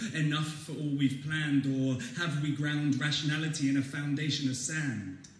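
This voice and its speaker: Noticeable background noise sits behind a man speaking at a fairly slow pace. His pitch is fairly high and his intonation fairly even. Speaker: student slam poet. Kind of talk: slam poetry performance. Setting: live audience in a hall.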